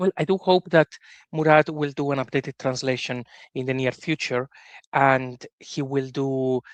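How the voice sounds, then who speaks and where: A man's fairly high voice at a moderate pace with fairly even intonation, dry and close with no echo, over a quiet background. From Spain. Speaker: podcast host. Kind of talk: interview discussion.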